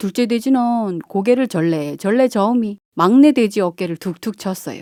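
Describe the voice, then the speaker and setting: A woman's fairly high voice with very wide pitch swings at a fairly slow pace, on a very clean recording with a silent background and a dry, close sound with no echo. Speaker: amateur voice actor, local native. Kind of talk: children's fairy tale reading. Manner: relaxed, unhurried.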